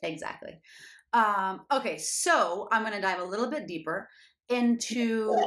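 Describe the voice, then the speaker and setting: A woman talks in a plain, everyday voice, fairly high in pitch. Her pace is fairly slow. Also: lively intonation. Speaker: podcast host and fitness coach. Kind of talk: casual interview chat.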